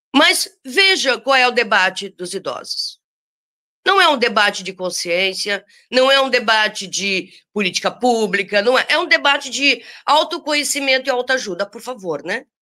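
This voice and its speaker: In a very clean recording with a silent background, a woman speaks at a moderate pace in a high, bright, sharp tone that swings very widely in pitch. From southern Brazil (Rio Grande do Sul). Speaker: activist and librarian. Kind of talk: interview. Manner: animated.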